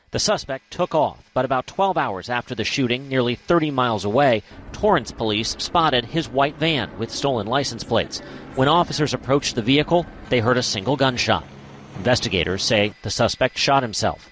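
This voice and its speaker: Over noticeable background noise, a man talks fairly quickly at a medium pitch with lively intonation. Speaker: news reporter. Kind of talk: news report.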